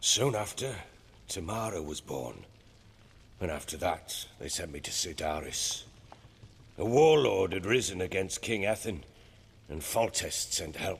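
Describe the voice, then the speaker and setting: A man puts on a gruff character voice with a very deep, low pitch and very wide pitch swings. He keeps a moderate pace but leaves long, frequent pauses. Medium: video game. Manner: gruff, coarse-spoken.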